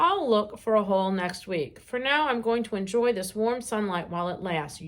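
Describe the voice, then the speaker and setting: Using a croaky, put-on character voice at a medium pitch, a woman speaks at a moderate pace. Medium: read story.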